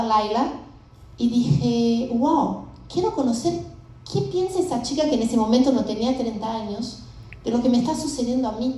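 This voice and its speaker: There is audible room echo around a woman whose pitch is fairly high. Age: 50s. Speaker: startup founder. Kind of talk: conference presentation.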